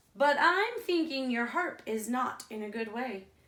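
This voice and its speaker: A woman puts on a character voice with a high pitch. Her pace is moderate. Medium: read story.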